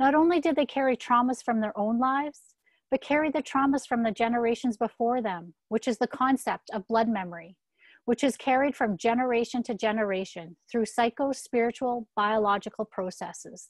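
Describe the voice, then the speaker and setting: A woman's fairly high, fairly quick speech with ordinary pitch variation, a dry, close sound with no echo, and a quiet background. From Saskatchewan, Canada (First Nations). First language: Saulteaux. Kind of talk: reading aloud. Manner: formal.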